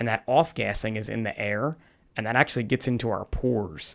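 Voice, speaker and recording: An unremarkable speaking voice from a man with an American accent, medium pitch and moderate pace, in a very clean recording with a silent background. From New Jersey. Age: 40s. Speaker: firefighter. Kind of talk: interview. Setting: clinic treatment room.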